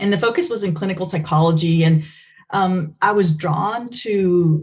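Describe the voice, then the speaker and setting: A woman's fairly low, somewhat breathy voice with a dark, mellow tone, at a moderate pace. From Venezuela. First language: Spanish. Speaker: behavior analysis researcher. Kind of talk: podcast interview.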